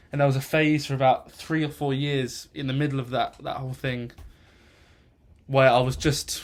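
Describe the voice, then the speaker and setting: This man speaks in a southern English accent. His intonation is monotone and flat. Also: moderate pace. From England, northwest of London. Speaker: music student. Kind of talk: personal introduction monologue. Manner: halting, many fillers.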